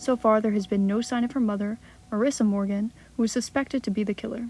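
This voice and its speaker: A soft-spoken woman talks at a very fast pace with a fairly high pitch. Her intonation is fairly even, and music plays in the background. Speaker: ASMR creator. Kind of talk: horror story reading.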